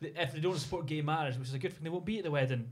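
In a Scottish accent, the speaker talks with fairly even intonation and a somewhat breathy sound. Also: man. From Scotland. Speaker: podcast host. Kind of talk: casual chat.

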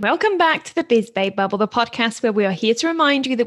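The speaker has a British accent. The intonation is lively. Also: woman. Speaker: podcast co-host. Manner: casual, chatty.

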